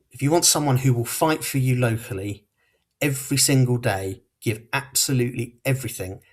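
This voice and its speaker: This man talks at a fairly quick pace, his voice somewhat breathy. His pitch sits in the middle range, with ordinary variation. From Portsmouth, southern England. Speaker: local election candidate. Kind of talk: campaign closing speech.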